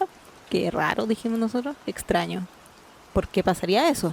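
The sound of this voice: At a moderate pace, a woman speaks with medium pitch, lively intonation and vocal fry.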